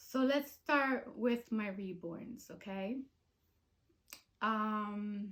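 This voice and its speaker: Speaking at a very slow pace, a woman leaves long, frequent pauses. Her voice is fairly high, with ordinary pitch variation. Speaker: video blogger and reborn doll collector. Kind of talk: personal vlog. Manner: halting, many fillers.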